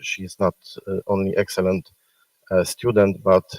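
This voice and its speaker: Dry and close with no echo, a man's fairly low voice carries a monotone, flat intonation. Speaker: medical school faculty presenting awards. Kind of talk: award ceremony speech. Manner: loud; halting, many fillers. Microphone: speaking without the microphone.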